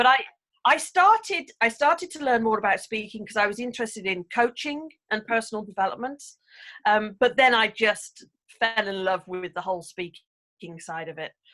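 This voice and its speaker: In an English accent, a woman with a fairly high, bright, sharp voice speaks with lively intonation and big swings in loudness. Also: moderate pace. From England. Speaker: English speaking coach and author. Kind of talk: casual interview chat.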